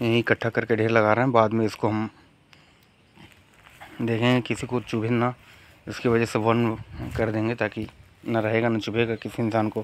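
Fairly low male speech in a monotone, flat intonation, broken by long, frequent pauses. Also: moderate pace.

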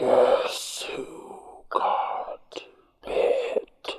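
In a put-on character voice, the speaker hisses at an extremely high pitch, raspy, with a clear echo. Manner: hissing.

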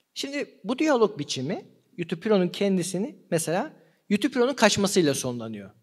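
With a high pitch and very wide pitch swings, a man speaks at a moderate pace against a quiet background. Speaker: philosophy seminar lecturer. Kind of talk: lecture. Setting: live seminar with audience. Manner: slightly trembling voice. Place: hall. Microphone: studio mic.

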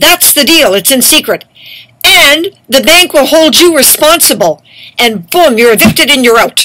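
A woman talks at a moderate pace. Behind her, the background is quiet. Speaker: activist vlogger. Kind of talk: angry monologue. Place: home room. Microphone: webcam.

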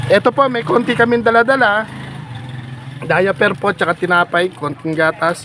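A man with a high pitch projects his raised voice at a moderate pace with lively intonation. Background noise is noticeable. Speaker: charity vlogger. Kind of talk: vlog narration to camera.

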